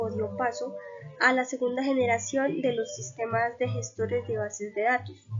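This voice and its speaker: Music plays behind this woman. She talks at a fairly slow pace. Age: 20s. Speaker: university student. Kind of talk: class presentation. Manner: hesitant, frequent fillers.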